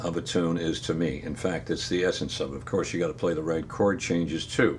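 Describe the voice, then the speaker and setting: With an American accent, a man speaks in a very deep, low voice amid audible room echo. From upstate New York. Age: 80s+. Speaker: retired piano player and music teacher. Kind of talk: casual talk to camera. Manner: halting.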